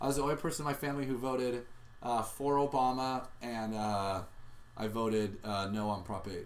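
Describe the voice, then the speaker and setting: A man with an American accent at medium pitch, ordinary pitch variation and a fairly quick pace, with audible room echo. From Southern California (Orange County). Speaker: podcast host, improv comedian. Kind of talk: casual chat.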